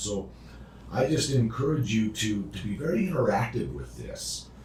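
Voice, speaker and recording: A man is speaking, with audible room echo. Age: 60s. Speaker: addiction recovery podcast co-host. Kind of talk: casual instructional chat. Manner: halting, repeated words.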